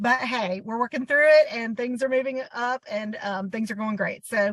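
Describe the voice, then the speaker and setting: A woman's high voice in a Southern US accent, at a moderate pace with ordinary pitch variation. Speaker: boutique owner. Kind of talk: interview.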